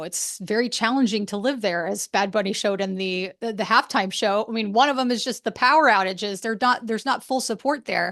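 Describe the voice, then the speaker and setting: Against a quiet background, a woman with a fairly high pitch talks in a normal speaking voice at a fairly quick pace with ordinary pitch variation. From moved around as a US military child. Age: 40s. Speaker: podcast host. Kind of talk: solo podcast monologue. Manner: casual, conversational.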